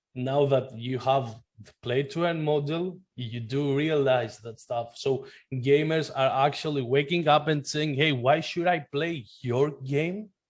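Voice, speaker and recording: Speaking at a fairly slow pace with a non-native accent, a man uses a fairly high pitch and ordinary pitch variation. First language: not English. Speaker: blockchain gaming website co-founder. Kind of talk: interview. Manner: halting, many restarts.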